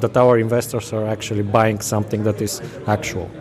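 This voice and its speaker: With music in the background, a man speaks in a Bulgarian accent, his intonation fairly even. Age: 30s. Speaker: company CEO and founder. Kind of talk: interview. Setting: conference venue. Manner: halting.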